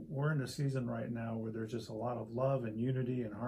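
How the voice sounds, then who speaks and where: A man speaks at a moderate pace with a medium pitch. His voice is somewhat breathy, with audible room echo. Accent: American. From US Midwest (Springfield, Illinois). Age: 60s. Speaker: pastor. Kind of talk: interview. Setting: church study. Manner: halting, with many fillers and repeats.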